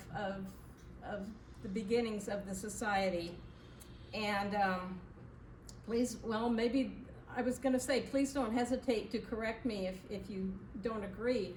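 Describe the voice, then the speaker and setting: Recorded with audible room echo and noticeable background noise, a woman talks at a fairly slow pace with a fairly high pitch and ordinary pitch variation. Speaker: historical society charter member. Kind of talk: public talk to audience. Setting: community event with live audience, no microphone. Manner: loud, projecting. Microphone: speaking without microphone.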